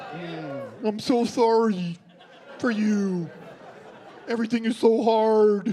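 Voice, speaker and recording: A fairly high-pitched put-on character voice speaks at a fairly slow pace with long, frequent pauses. Crowd noise fills the background. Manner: sad, limp.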